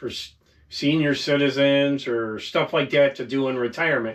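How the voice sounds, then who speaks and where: The man's pitch is fairly high, and his pace is moderate. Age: 50s. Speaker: YouTuber, mechanical worker nearing retirement. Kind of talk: casual vlog monologue. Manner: halting, with fillers and repetitions.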